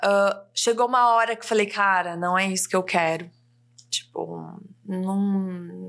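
Fairly even intonation marks this woman's delivery. She speaks at a very slow pace. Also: medium pitch for a woman. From interior of São Paulo state, Brazil (Ribeirão Preto). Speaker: copywriter and mentor. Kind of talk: casual interview chat.

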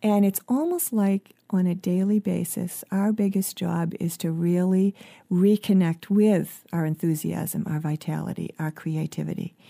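A woman's medium-pitched voice with a dark, mellow tone, at a fairly slow pace with hardly any pauses, on a very clean recording with a silent background and a dry, close sound with no echo. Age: 50s. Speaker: life coach and author. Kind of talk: interview.

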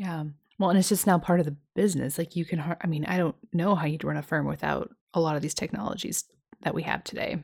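Talking at a very fast pace, a woman uses a fairly low voice with vocal fry and ordinary pitch variation on a very clean recording with a silent background. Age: 30s. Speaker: podcast host, financial planner. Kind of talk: interview.

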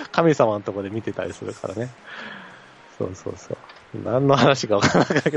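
Against noticeable background noise, a man at medium pitch talks at a fairly quick pace with long, frequent pauses, ordinary pitch variation, and big swings in loudness. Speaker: baseball podcast co-host. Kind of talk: casual chat.

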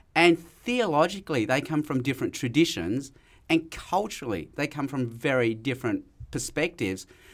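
A man with an Australian accent speaks at a moderate pace in a fairly high pitch, with lively intonation and vocal fry, on a very clean recording with a silent background. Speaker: evangelist and lecturer. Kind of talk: casual interview chat.

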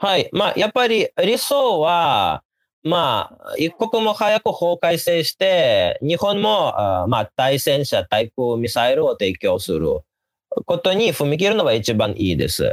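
This man's voice sounds dry and close with no echo, his loudness stays very even, and the recording is very clean over a silent background. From Ukraine, Kyiv. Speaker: political scientist. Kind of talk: interview.

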